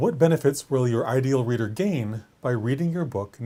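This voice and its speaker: This man's voice sits at a medium pitch, somewhat breathy with a dark, mellow tone and ordinary pitch variation. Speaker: writing coach. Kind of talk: vlog-style talk to camera. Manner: fast; animated.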